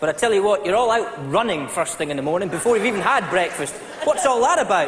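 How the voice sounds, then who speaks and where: A man with a Scottish accent talks at a very fast pace in a high voice. His pitch swings very widely, and there is noticeable background noise. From Scotland. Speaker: stand-up comedian. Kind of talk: stand-up comedy set.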